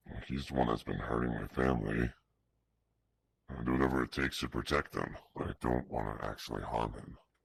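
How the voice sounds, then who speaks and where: In a put-on character voice with a very deep, low pitch, a man talks at a fairly quick pace, leaving long, frequent pauses. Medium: machinima. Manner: earnest.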